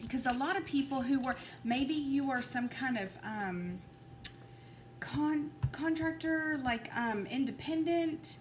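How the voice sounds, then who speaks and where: A woman's high voice with very wide pitch swings at a very slow pace, audible room echo and noticeable background noise. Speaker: tarot reader. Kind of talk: tarot card reading. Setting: at home at a table. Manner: halting, stuttering a little.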